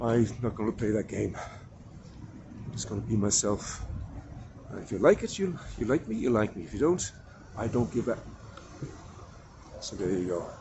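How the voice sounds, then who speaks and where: With an Irish accent, a man speaks at a fairly low pitch with ordinary pitch variation and long, frequent pauses. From Ireland. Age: old. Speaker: actor. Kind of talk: casual talk to camera. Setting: outdoors. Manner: low-energy, unhurried.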